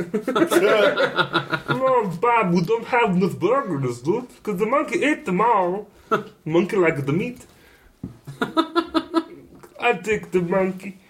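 In a put-on character voice at middle pitch, the speaker goes at a moderate pace with long, frequent pauses. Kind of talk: goofy, comic. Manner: doing a cartoon voice.

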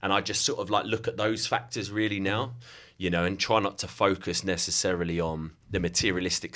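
Very deep and low yet bright and sharp in tone, a man with a southeast English accent speaks at a fairly quick pace with fairly even intonation on a very clean recording with a silent background. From southeast England, Kent. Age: 30s. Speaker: digital marketing agency owner. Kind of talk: casual interview chat.

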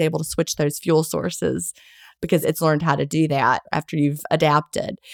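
A woman speaks at a fairly quick pace with very deep, low pitch, vocal fry and ordinary pitch variation, in a dry, close sound with no echo. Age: 50s. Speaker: author and intermittent fasting advocate. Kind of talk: interview. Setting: remote call during a hurricane.

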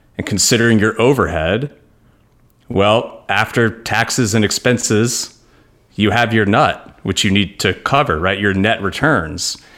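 A man speaks in a normal speaking voice at a fairly low pitch and fairly slow pace, with ordinary pitch variation and very even loudness in a very clean recording with a silent background. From New York. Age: 30s. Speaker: real estate investment firm founder. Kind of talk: interview.

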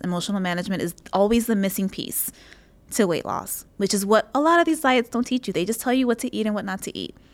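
A woman talks at a very fast pace with lively intonation. The recording is very clean, with a silent background. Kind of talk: pep talk coaching monologue. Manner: emphatic, driving, insistent; warm, direct, motivational.

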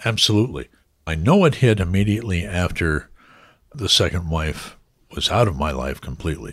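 This man's voice sits very deep and low, with vocal fry and lively intonation at a fairly quick pace. The recording is very clean against a silent background. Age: 60s. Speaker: broadcaster and voiceover artist. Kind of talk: interview conversation. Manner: halting.

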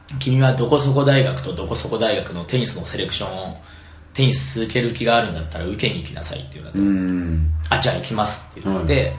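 Amid noticeable background noise and audible room echo, a man talks at a very fast pace with very wide pitch swings and big swings in loudness. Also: fairly low pitch for a man. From Japan, Fukui Prefecture. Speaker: tennis coach. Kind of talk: casual interview.

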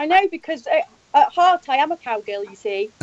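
In an English accent, a woman with an extremely high pitch talks at a moderate pace, with very wide pitch swings and big swings in loudness. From Sheffield, England. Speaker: country singer, interview guest. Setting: internet call with bad connection.

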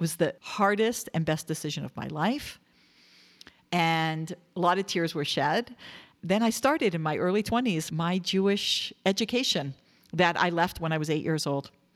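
A woman speaks in an ordinary speaking voice at a moderate pace and fairly low pitch. Her pitch variation is ordinary, and the recording is very clean with a silent background. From Canada, Toronto. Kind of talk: interview storytelling.

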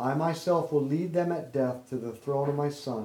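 An ordinary speaking voice from a man, medium in pitch, with ordinary pitch variation. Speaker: rosary leader. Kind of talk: guided rosary prayer and meditation. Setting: home gathering with friends after a birthday party. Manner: fervent, devout, praying in a steady rhythmic cadence.

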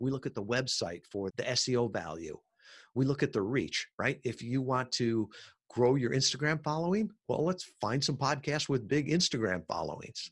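A man with an American accent and a normal speaking voice talks at a moderate pace and medium pitch, his intonation lively over a quiet background. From US Midwest, Chicago suburbs. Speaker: podcast marketing entrepreneur. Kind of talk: interview.

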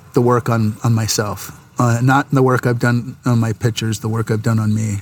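A man's medium-pitched speech comes with noticeable background noise. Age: 50s. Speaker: commercial photographer. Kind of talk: casual chat.

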